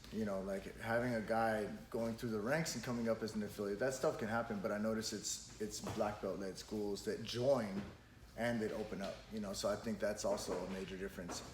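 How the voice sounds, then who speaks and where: Fairly even intonation comes through with noticeable background noise. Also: man, fairly low pitch for a man, fairly quick pace. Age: 30s. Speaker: podcast host and jiu-jitsu school owner. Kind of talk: casual podcast conversation.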